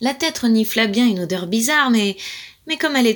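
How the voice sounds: A natural reading voice carries lively intonation.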